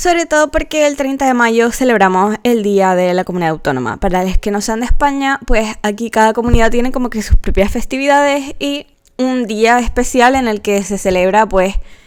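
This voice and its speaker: A woman with a fairly high voice speaks at a moderate pace with lively intonation and hardly any pauses. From Canary Islands, Spain. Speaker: artist and content creator. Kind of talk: casual narration over speedpaint.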